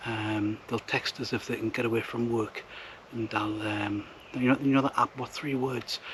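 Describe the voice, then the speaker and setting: Whispering at a fairly quick pace, a man with a Northumbrian accent speaks over noticeable background noise. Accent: Northumbrian (Geordie-like) English. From northern England, southeast Northumberland. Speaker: outdoor vlogger. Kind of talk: vlog narration. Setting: outdoors in woods. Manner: hesitant, many fillers.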